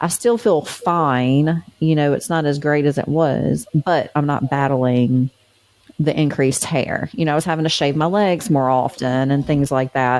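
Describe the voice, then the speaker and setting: A woman at a fairly slow pace, her pitch very deep and low, with ordinary pitch variation and very even loudness. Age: 40s. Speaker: podcast co-host. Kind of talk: casual chat.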